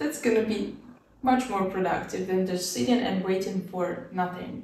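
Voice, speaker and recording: A woman talks at a fairly slow pace. Audible room echo and light background noise are present. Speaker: student vlogger. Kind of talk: casual tutorial vlog. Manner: casual, laughs often. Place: home room.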